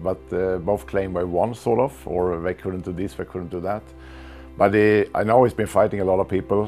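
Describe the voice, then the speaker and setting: Music plays behind a man with a very deep, low voice. He speaks at a moderate pace with ordinary pitch variation. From Sweden. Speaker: martial arts grandmaster. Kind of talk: interview answer, reminiscing. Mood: warm, reminiscing. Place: home room. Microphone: lapel.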